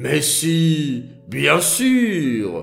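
A man's put-on character voice, fairly high in pitch, with faint music in the background

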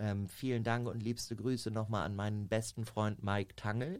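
In an ordinary speaking voice, a man talks with a fairly low pitch and fairly even intonation. The recording is very clean, with a silent background. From Germany, Minden (East Westphalia). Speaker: model agent. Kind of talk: casual chat.

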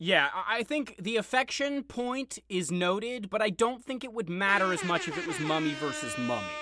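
Raising and projecting his voice over noticeable background noise, a man talks at a high pitch and a moderate pace with very wide pitch swings and hardly any pauses. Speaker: podcast host. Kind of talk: casual banter podcast chat.

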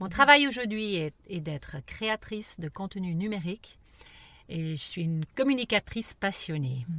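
With very wide pitch swings, a woman speaks at medium pitch in a bright, sharp tone. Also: fairly slow pace. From raised abroad, missionary parents. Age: 50s. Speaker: podcast co-host. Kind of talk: casual conversation. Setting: in a parked car.

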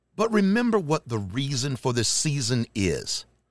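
On a very clean recording with a silent background and a dry, close sound with no echo, a man with a North Carolina accent speaks at a fairly slow pace in a fairly high pitch with very wide pitch swings. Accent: Southern US (North Carolina). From US South, Charlotte, North Carolina. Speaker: podcast host. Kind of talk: casual holiday message monologue. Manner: loud; energetic.

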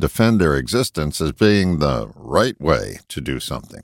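Recorded very cleanly against a silent background, with a dry, close sound and no echo, a man with an American accent speaks with vocal fry. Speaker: broadcaster and self-help writer. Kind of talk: reading aloud an essay.

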